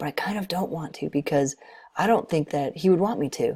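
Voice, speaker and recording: A raspy, put-on character voice at a middle pitch moves at a fairly quick pace in a very clean recording with a silent background. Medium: read story. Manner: eager, quick.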